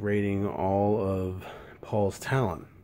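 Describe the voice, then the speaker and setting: A man speaks softly in a dark, mellow tone. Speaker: wrestling history video maker. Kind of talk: casual vlog monologue. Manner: soft-spoken, keeping voice down.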